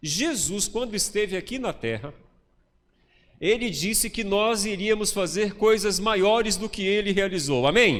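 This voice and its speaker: A man speaks slowly-ish, at a fairly slow pace, his pitch high for a man. Ordinary pitch variation comes through with audible room echo. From Bahia, Brazil (interior). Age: 50s. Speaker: pastor. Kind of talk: sermon. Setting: church.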